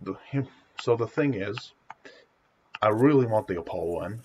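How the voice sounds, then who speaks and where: This man's voice is somewhat breathy, moving at a moderate speed with ordinary pitch variation. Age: young. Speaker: gaming streamer. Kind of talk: casual live stream Q&A. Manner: halting.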